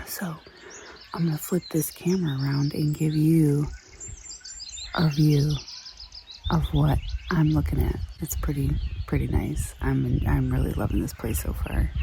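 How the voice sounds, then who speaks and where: Amid noticeable background noise, a woman speaks at a fairly slow pace with long, frequent pauses. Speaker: travel vlogger. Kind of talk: casual vlog narration. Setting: outdoors. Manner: quiet, talking low.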